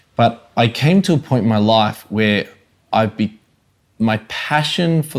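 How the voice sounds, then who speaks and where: A man with an Australian accent, fairly low in pitch, at a very slow pace. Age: 30s. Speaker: evangelist and ministry coach. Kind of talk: interview, personal testimony. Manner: animated.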